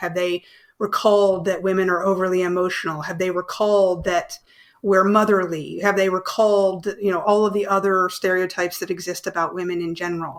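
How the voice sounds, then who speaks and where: Moving at a fairly quick pace, a woman with an American accent speaks at a medium pitch with fairly even intonation. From United States. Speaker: behavioural science consultant. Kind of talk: podcast interview discussion. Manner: not loud.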